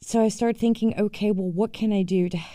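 Speaking at a very fast pace, a woman has a dark, mellow, somewhat breathy tone and fairly even intonation. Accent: American. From United States. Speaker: divorce coach. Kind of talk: solo podcast monologue.

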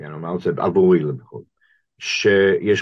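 A man speaks with a very deep, low pitch. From US, Boston. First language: English (speaking Hebrew). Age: 60s. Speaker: rabbi and professor. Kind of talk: interview conversation. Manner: halting, many fillers.

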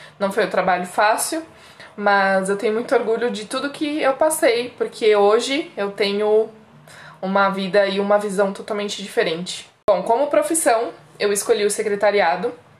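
A woman's fairly high pitch with ordinary pitch variation, amid noticeable background noise. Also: moderate pace. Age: 30s. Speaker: podcast co-host, secretary. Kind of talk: casual chat.

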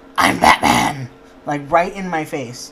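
Against noticeable background noise, a man speaks at a fairly slow pace and a fairly high pitch. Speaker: podcast co-host.

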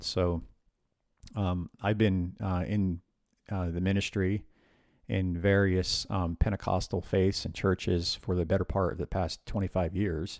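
A man speaks at a moderate pace with an American accent and a very deep, low pitch. The recording is very clean, with a silent background. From US, northern New Jersey. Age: 40s. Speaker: podcast co-host, IT worker. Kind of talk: casual chat.

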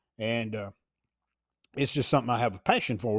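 A man speaks with a Southern US accent at a fairly quick pace. The sound is dry and close with no echo, in a very clean recording with a silent background. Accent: Southern US country. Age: old. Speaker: sports writer and podcast host. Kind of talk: casual monologue. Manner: rambling with frequent fillers.

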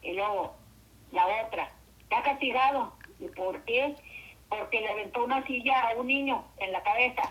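At a moderate pace, a woman with a high pitch speaks with long, frequent pauses. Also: ordinary pitch variation. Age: 60s. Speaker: host's mother. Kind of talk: storytelling.

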